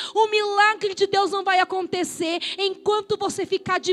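Music plays in the background. Over it, a woman speaks in a passionate, animated tone. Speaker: pastor. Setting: church, live congregation. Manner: passionate, emphatic, rising-intensity delivery with rhythmic repetition; colloquial, animated, direct confrontational address to the congregation.

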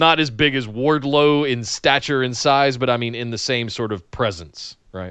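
Against a quiet background, a man with an American accent talks at a moderate pace in a bright, sharp tone, with medium pitch and ordinary pitch variation. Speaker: wrestling podcast co-host. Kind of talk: casual chat.

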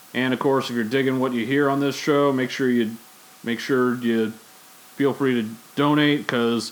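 Over noticeable background noise, the speaker goes at a moderate pace in a monotone, flat intonation. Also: man, medium pitch for a man. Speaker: podcast host. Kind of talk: casual chat. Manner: casual, conversational.

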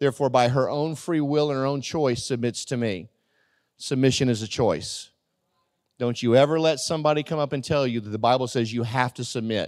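Recorded very cleanly against a silent background, a man with a normal speaking voice talks fairly quickly with ordinary pitch variation. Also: medium pitch for a man. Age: 50s. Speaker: pastor. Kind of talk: sermon. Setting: church.

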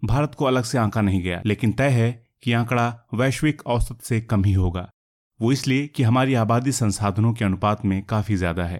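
A man at a moderate pace and medium pitch, ordinary pitch variation, a plain, everyday voice. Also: very clean recording, silent background. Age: 50s. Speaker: journalist narrator. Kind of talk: scripted narration.

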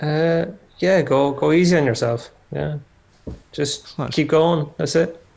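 A man with an Irish accent speaks at a very slow pace. His voice is fairly high, with fairly even intonation. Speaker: designer. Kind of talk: casual chat.

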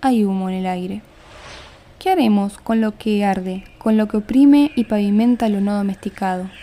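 Noticeable background noise sits behind this woman, whose pitch is medium. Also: ordinary pitch variation, moderate pace. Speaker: podcast host and poetry reader. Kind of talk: poetry reading, spoken word.

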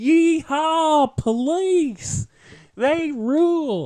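This is a put-on character voice in a Southern US accent. It sits at a high pitch. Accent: Southern American. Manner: exaggerated, mocking.

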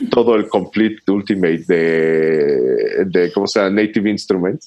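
Over music in the background, a man speaks at a fairly slow pace with a fairly low pitch. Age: 40s. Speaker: bass guitarist. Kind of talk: casual interview.

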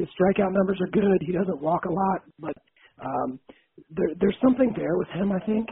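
The man speaks at a high pitch. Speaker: podcast host. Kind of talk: casual chat.

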